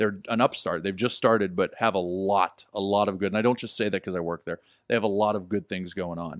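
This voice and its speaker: Recorded very cleanly against a silent background, with a dry, close sound and no echo, a man with a normal speaking voice talks at a fairly quick pace, his fairly low pitch held to a fairly even intonation. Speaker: wrestling manager and commentator. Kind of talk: casual chat. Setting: studio.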